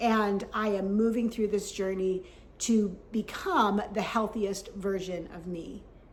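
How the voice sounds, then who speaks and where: Amid noticeable background noise and audible room echo, a woman speaks very slowly at a medium pitch with monotone, flat intonation. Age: 60s. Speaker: health vlogger. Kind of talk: vlog talk to camera.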